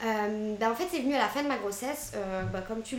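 A woman talks at a fairly quick pace and fairly high pitch, with ordinary pitch variation. Audible room echo and noticeable background noise surround her voice. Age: 30s. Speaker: entrepreneur, postpartum caterer. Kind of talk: interview.

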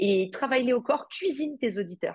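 A woman speaks with lively intonation. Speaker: entrepreneur and podcast host. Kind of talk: interview conversation.

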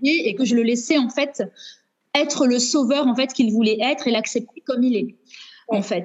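A woman with a high pitch, a moderate pace, long, frequent pauses and very even loudness. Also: ordinary pitch variation. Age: 30s. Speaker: teacher sharing divorce experience. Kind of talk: testimony. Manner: halting.

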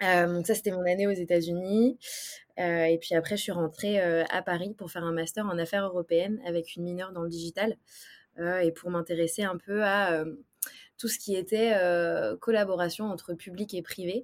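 A woman at a moderate pace with fairly even intonation and long, frequent pauses, in a very clean recording with a silent background. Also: medium pitch for a woman. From Brittany, France (Brest). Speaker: startup ecosystem executive. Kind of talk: interview.

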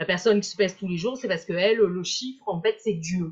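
A woman's voice is somewhat breathy. She talks fairly quickly. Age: 50s. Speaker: hypnotherapist and weight-loss coach. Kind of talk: live-stream interview. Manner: hesitant, repeating words.

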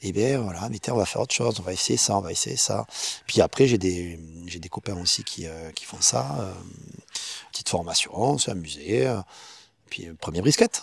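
A man speaks at a very deep, low pitch with vocal fry. His loudness swings widely, and he leaves long, frequent pauses. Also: lively intonation, moderate pace. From Perpignan, French Catalonia. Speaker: street food chef and caterer. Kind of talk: casual interview chat.

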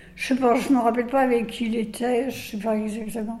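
Fairly slow, high-pitched speech from a woman comes with audible room echo and noticeable background noise. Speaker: elderly choir member. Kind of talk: testimony.

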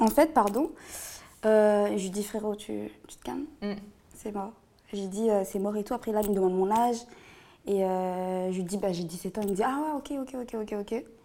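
In a dark, mellow tone, a woman speaks with ordinary pitch variation, big swings in loudness and long, frequent pauses. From La Réunion. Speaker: guest storyteller. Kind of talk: personal testimony in casual interview.

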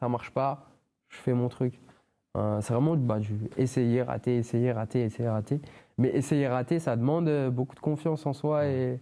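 Long, frequent pauses break up a man's speech, which has a dark, mellow tone and fairly even intonation. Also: medium pitch for a man, moderate pace. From France. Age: 20s. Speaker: professional MMA fighter. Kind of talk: casual interview. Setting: father's workshop.

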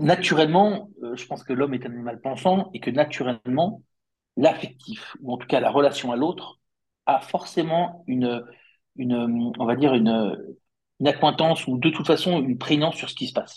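With lively intonation and big swings in loudness, a man at a fairly high pitch talks at a moderate pace, broken by long, frequent pauses. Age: 50s. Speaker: company founder. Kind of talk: interview. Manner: halting, many fillers.

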